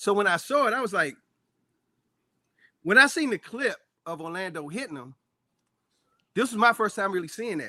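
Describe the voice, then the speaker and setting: A man with a D.C. accent projects a raised, high-pitched voice in a bright, sharp, animated tone at a moderate pace, his intonation lively and his loudness swinging widely. Long, frequent pauses break his speech on a very clean recording with a silent background. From Washington, D.C. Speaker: actor. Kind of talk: casual chat.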